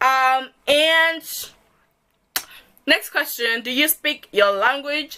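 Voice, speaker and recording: Her voice is raised and projected, bright and sharp in tone, as this woman speaks at a high pitch. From Zimbabwe, Kadoma. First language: Shona. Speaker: vlogger. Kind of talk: casual vlog, Q&A tag. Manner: animated.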